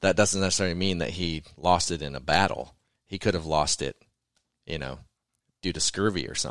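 A man with a very deep, low pitch talks at a fairly quick pace with vocal fry and ordinary pitch variation. He leaves long, frequent pauses on a very clean recording with a silent background. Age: 40s. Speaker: podcast host. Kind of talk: casual chat.

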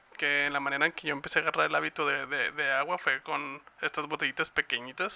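A man with a Mexican accent races at a very fast pace with hardly any pauses, his bright, sharp tone at a fairly high pitch marked by vocal fry and monotone, flat intonation, in a dry, close sound with no echo. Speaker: podcast producer and co-host. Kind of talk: casual chat.

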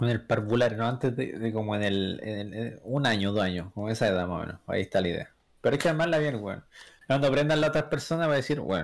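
A very fast man with medium pitch and lively intonation, on a very clean recording with a silent background. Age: 20s. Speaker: podcast guest. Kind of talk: casual chat.

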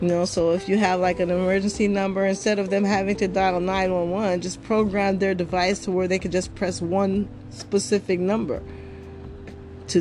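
She has an ordinary speaking voice, pitched in the medium range. Her intonation stays fairly even. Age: 50s. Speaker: podcast host. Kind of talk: casual monologue.

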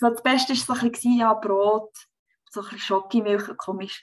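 A woman talks at a moderate pace. Her voice is fairly high, with ordinary pitch variation. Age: 30s. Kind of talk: personal testimony in interview.

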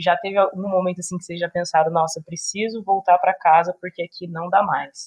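A woman speaks at a medium pitch in a somewhat breathy voice, her intonation monotone and flat while her loudness swings widely. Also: fairly quick pace, hardly any pauses. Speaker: podcast host. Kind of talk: casual chat.

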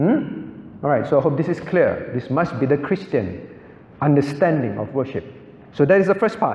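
Lively intonation from a man with a fairly high pitch, noticeable background noise behind him. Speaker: pastor teaching a Bible class. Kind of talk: lecture. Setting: church class with audience. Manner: instructional, asks audience questions.

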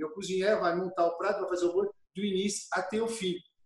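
A man talks at a very fast pace. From France, Burgundy (Dijon area). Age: 50s. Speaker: chef. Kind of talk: interview, personal storytelling. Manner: halting, repeats words.

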